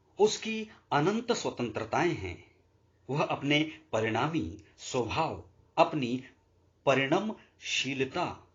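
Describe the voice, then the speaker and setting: A man's voice carries vocal fry and very wide pitch swings. He leaves long, frequent pauses. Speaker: audiobook narrator. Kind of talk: audiobook reading of a religious philosophy text.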